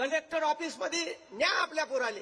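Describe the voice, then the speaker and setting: Here a man's voice is raised and projected at an extremely high pitch. His tone is animated. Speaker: motivational speaker. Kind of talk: public speech. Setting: stage with audience, loudspeaker.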